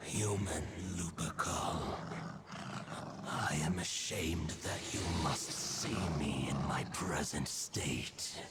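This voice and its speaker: Over loud background noise, a man in a put-on character voice speaks very slowly at a very deep, low pitch. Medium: game stream. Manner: stately, archaic.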